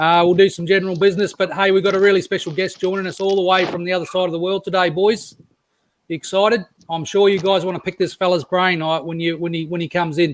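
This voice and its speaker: Fast and high-pitched, a man speaks at a very fast pace with an Australian accent. His intonation stays monotone and flat. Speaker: crypto live-stream host. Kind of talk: casual live-stream chat. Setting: live online stream. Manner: halting, many fillers and repeats.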